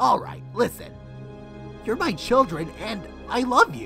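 A woman performs a cartoonish character voice, fairly high and fairly bright, with big pitch swings. She talks at a fairly slow pace while faint music plays in the background.

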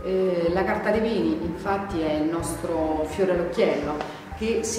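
Faint music plays in the background. Audible echo fills the room. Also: woman. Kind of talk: interview answer. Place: bar.

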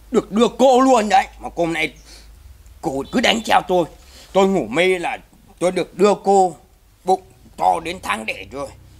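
A man speaks with lively intonation at a fairly slow pace, leaving long, frequent pauses. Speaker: comedy sketch actor. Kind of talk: scripted comedy dialogue. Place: garden.

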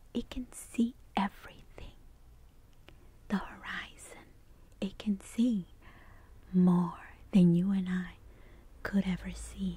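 A soft-spoken woman whispers at a very slow pace, with long, frequent pauses. The sound is dry with no echo. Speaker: ASMR artist. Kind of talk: guided sleep meditation. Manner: soft-spoken, whispered.

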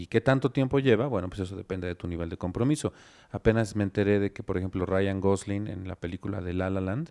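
Against a quiet background, a man talks at a very fast pace. His pitch is fairly low, his tone dark and mellow, and his pitch variation ordinary. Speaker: company director; guest. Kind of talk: casual chat. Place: studio. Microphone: handheld.

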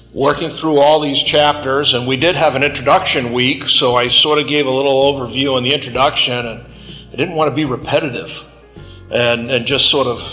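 Over faint music in the background, a man speaks at a fairly quick pace with fairly even intonation. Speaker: Bible class teacher. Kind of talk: lecture. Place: classroom.

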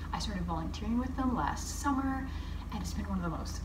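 A woman's voice comes through over noticeable background noise. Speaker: queer artist vlogger. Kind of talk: casual vlog chat. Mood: warm, reflective, grateful. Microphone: phone near.

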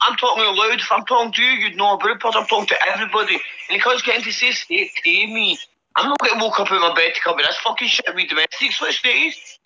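Someone with a strong Scottish accent talks at a very fast pace. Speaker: participant in a live group voice chat on an app.

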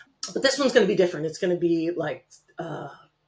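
A woman's fairly low voice with lively intonation. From Connecticut, US. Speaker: real estate note investor; guest. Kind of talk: casual interview. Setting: video call. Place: home room. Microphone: webcam.

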